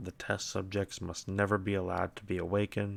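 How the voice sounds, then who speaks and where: A man with a fairly low pitch speaks at a moderate pace on a very clean recording with a silent background. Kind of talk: quiet lore reading with commentary. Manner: soft-spoken.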